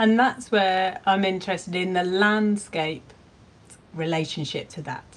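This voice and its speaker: In a Cornish accent, a woman speaks fairly slowly at a medium pitch, with ordinary pitch variation and big swings in loudness. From Cornwall. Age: 50s. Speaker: podcast host and artist. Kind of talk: casual chat.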